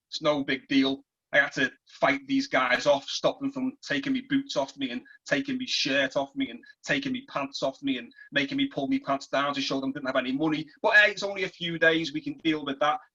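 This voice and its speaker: A man with a Liverpool accent talks at a fairly quick pace. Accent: English, Liverpool area. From northern England, Merseyside (between Liverpool and St Helens). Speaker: former prisoner and author. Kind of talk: reading aloud from own novel; personal testimony.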